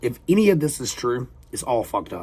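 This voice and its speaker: A man with a Southern accent talks at a moderate pace in an animated tone with lively intonation. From US South. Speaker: reaction video creator. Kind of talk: casual reaction commentary. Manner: casual, halting with fillers.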